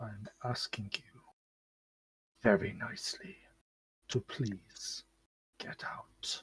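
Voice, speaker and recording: A man whispering in a put-on character voice, very slow and broken by long, frequent pauses. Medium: actual play.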